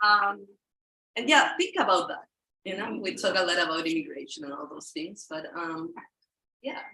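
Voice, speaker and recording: With a Spanish accent, a woman talks at a moderate pace with long, frequent pauses. Her loudness swings widely. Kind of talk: casual talk to audience. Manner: halting.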